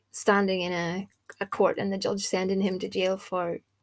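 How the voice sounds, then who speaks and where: In a very clean recording with a silent background, a woman speaks at a medium pitch and a moderate pace. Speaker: spell caster / occult practitioner. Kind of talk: casual video monologue. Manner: tries to speak loudly; earlier videos very quiet; halting, many fillers.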